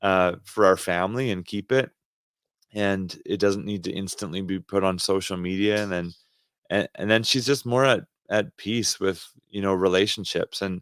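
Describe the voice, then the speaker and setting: A man with a Canadian accent and an ordinary speaking voice talks at a fairly low pitch and a moderate pace, his intonation fairly even. The recording is very clean and dry, close with no echo, and the background is silent. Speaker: podcast co-host, ministry leader. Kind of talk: casual chat.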